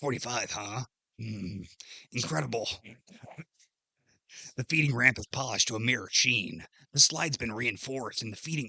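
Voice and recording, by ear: A man in a put-on character voice, medium in pitch, at a moderate pace with long, frequent pauses.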